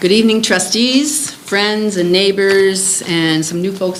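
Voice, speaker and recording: A woman with an American accent is heard amid audible room echo and noticeable background noise. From Illinois, US Midwest. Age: 70s. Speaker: resident making public comment. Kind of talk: public comment.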